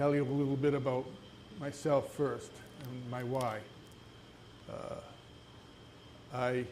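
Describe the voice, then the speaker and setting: A man at medium pitch, monotone and flat, at a fairly slow pace with long, frequent pauses and audible room echo. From New England, New Hampshire. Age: 70s. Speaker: small business owner, retired army veteran. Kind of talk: entrepreneur presentation. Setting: live event with audience. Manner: halting, many fillers; quiet. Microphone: handheld mic held too far away at first.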